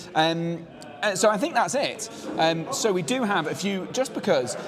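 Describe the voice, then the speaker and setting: A man speaks with lively intonation. Noticeable background noise and audible room echo are present. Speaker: tournament stream host. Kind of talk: live stream interview. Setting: outdoors on a veranda.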